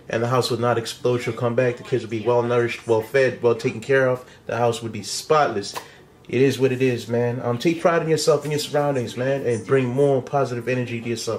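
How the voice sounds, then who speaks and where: A man's normal speaking voice, medium-pitched and fairly quick, with fairly even intonation. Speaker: vlogger. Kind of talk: casual chat.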